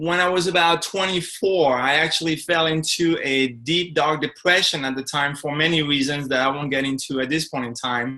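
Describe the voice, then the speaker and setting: Bright and sharp in tone, a man with a French accent speaks at a moderate pace and fairly high pitch with fairly even intonation. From France. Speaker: speaker and coach. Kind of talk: interview.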